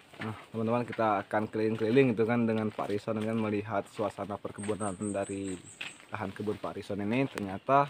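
A man talks at a very fast clip in a flat monotone. The sound is dry with no echo, over light background noise. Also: fairly low pitch for a man. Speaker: vlogger host. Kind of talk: casual vlog chat and interview questions. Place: garden. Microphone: phone near.

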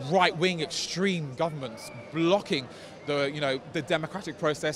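The recording is dry, without echo. Noticeable background noise sits behind a man's voice. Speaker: interviewee. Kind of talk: interview answer. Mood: indignant, passionate. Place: street. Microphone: handheld.

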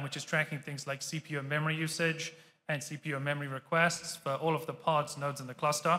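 With a British accent, a man speaks in a fairly high voice that has a bright, sharp tone and monotone, flat intonation. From Britain. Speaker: tech executive giving a conference talk. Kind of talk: conference talk. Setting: stage with audience. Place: hall.

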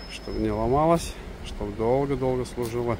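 Noticeable background noise surrounds a man talking at a moderate pace in a dry sound with no echo. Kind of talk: car walkaround promo commentary. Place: street. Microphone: phone near.

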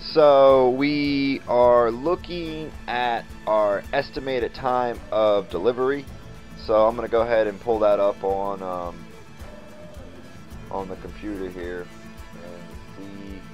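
Over faint music in the background, a man with a fairly low pitch talks at a very slow pace, with long, frequent pauses and big swings in loudness. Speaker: hobbyist vlogger. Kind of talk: casual vlog chat. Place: garage. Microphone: phone near.

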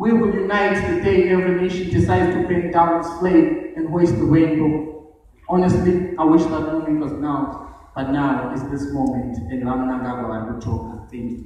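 A man speaks at a fairly high pitch with lively intonation. Strong room echo and light background noise surround him. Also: moderate pace. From Zimbabwe. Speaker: spoken word poet. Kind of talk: spoken word poetry performance. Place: stage. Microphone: camera far.

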